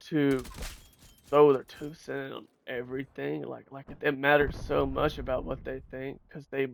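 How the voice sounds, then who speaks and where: A man speaks at a fairly slow pace. His loudness swings widely from moment to moment. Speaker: gaming streamer. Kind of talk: casual gameplay commentary. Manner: normally quiet and mellow, with sudden loud outbursts; rambling, halting.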